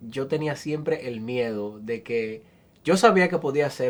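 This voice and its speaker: Rather slow, this man's speech sits at a middle pitch and varies in pitch in an ordinary way. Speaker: interviewer. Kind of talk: interview.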